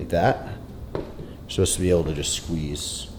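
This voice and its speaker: The speaker is a man. His recording carries audible room echo and noticeable background noise. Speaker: fitness vlogger. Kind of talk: casual vlog. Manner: casual, conversational.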